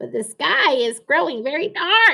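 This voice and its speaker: In a put-on character voice, a woman speaks with a high pitch. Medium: read story. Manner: flustered.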